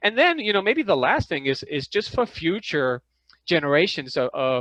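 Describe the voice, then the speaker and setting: With a Danish accent, a man speaks in a bright, sharp tone over a quiet background, the sound dry and close with no echo. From Denmark. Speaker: parasitologist and filmmaker. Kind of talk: interview. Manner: halting.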